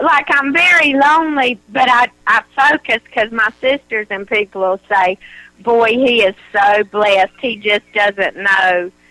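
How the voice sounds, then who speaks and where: Someone with a rural Southern US accent speaks at a fairly slow pace with lively intonation. The sound is dry and close, without echo. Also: woman, fairly high pitch for a woman. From North Carolina. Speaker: caller. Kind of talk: call-in advice conversation.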